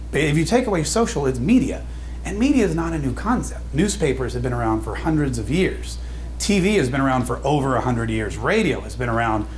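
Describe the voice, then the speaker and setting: A man speaks fairly quickly while noticeable background noise and clear room echo surround his voice. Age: 40s. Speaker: radio DJ and social media speaker. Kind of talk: conference talk. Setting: stage with audience. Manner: fast.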